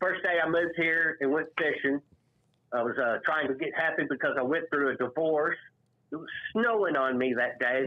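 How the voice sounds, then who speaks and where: Here is a man with a normal speaking voice. His pitch is fairly high and varies in an ordinary way. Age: 60s. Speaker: caller. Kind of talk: casual chat.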